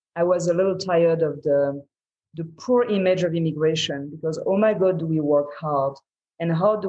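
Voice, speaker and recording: A woman with a French accent and a fairly low pitch, at a moderate pace with ordinary pitch variation. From France. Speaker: entrepreneur. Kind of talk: interview answer.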